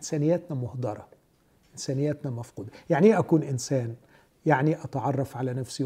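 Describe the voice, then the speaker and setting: A man speaks at a fairly high pitch in a dark, mellow, somewhat breathy tone with ordinary pitch variation. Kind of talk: religious discussion.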